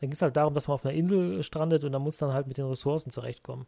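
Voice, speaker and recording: Somewhat breathy and dark, mellow in tone, a man speaks at a fairly high pitch on a very clean recording with a silent background. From Rhineland, Germany (Brühl area near Cologne). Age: 30s. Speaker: gaming podcast co-host. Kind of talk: casual chat.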